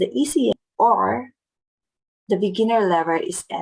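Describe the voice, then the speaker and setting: Speaking at a fairly slow pace, a woman with a Filipino accent shows vocal fry. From Philippines. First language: Filipino language. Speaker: vlogger. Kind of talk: tutorial. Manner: careful non-fluent English.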